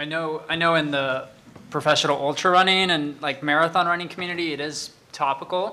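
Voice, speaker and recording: A man with an American accent and an unremarkable speaking voice talks at a fairly quick pace, his fairly high pitch moving in fairly even intonation. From Salt Lake City, Utah. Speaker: former pro mountain bike racer. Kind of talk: panel discussion. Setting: stage with audience.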